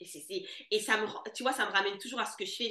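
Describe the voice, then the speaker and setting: An animated woman with a bright, sharp tone and fairly high pitch speaks at a fairly quick pace. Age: 30s. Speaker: money mentor for entrepreneurs. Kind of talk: casual chat.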